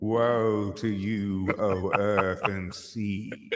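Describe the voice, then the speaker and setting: The voice belongs to a man doing a put-on character voice. It runs at a fairly low pitch. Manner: dramatic, ominous.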